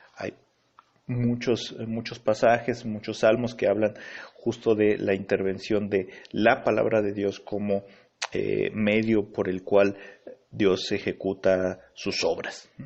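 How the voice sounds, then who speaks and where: Very slowly, a man speaks in a fairly low pitch with a monotone, flat intonation. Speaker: pastor. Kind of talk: Bible teaching. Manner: halting, many fillers.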